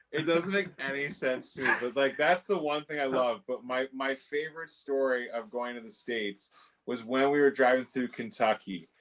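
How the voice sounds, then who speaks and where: With a slight Canadian accent, a man talks at a moderate pace and a medium pitch with ordinary pitch variation. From Canada. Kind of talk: casual chat. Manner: animated.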